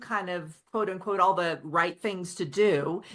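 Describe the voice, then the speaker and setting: A woman with a slight Oklahoma accent speaks at a moderate pace. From Oklahoma, Osage County. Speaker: author. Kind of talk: interview conversation. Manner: casual, with some repetitions.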